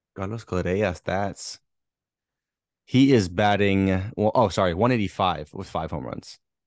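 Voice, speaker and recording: With long, frequent pauses, a man at a fairly low pitch speaks with ordinary pitch variation against a quiet background. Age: 20s. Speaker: sports podcast co-host. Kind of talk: casual chat. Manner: animated.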